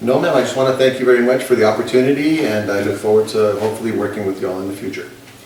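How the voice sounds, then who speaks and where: A man's medium-pitched voice at a very fast pace with hardly any pauses and ordinary pitch variation, amid audible room echo and noticeable background noise. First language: Spanish. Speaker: job candidate, bilingual teacher. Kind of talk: job interview role-play.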